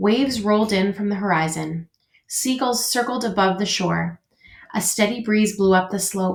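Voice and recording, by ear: The background is quiet as the speaker reads aloud in a natural voice, with ordinary pitch variation.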